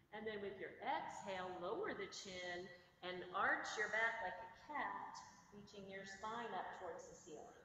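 In a room with audible echo and light background noise, a woman talks at a fairly slow pace with fairly even intonation and big swings in loudness. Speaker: yoga instructor. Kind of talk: guided yoga class. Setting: online video class. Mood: calm, soothing. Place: gym. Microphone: camera far.

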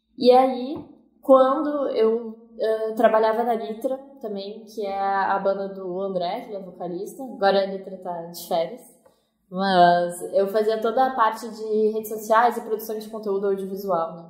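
Audible room echo colors a woman's medium-pitched voice, which varies in pitch in an ordinary way. Her loudness swings widely. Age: 20s. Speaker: cinematographer, ghost-tour organizer. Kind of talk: interview.

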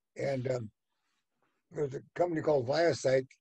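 A man with an American accent has a dark, mellow, somewhat breathy tone and lively intonation against a quiet background. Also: dry sound with no echo. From United States. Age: 80s+. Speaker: venture capitalist. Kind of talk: interview answer, storytelling. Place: home room. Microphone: webcam.

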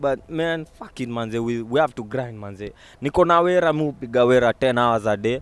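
Speaking at a moderate pace with a Kenyan accent, a man uses a medium pitch and ordinary pitch variation. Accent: Kenyan English with Sheng. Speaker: vlogger. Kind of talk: motivational vlog monologue. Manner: animated.

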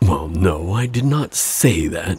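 A man's put-on character voice, low-pitched with a husky, rough edge, a slightly mellow tone, lively intonation and a slow pace.

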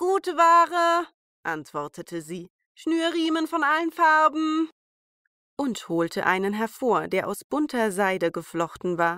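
A woman speaks very slowly in a calm, soothing tone, her high voice swinging very widely in pitch, recorded dry and close with no echo. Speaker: fairy tale narrator. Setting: home recording, rain outside. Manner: calm, soothing, storytelling pace with character voices.

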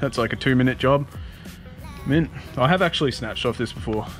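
The sound is dry with no echo, and faint music plays in the background. A man talks at a very fast pace. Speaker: off-road vehicle vlogger. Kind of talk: casual vlog chat. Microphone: phone near.

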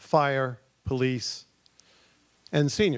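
A man speaks with a New England accent at a medium pitch. The recording is very clean, with a silent background. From Massachusetts, central. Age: 70s. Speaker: town resident presenting committee proposal. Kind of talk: public presentation at town meeting. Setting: stage at town meeting with audience.

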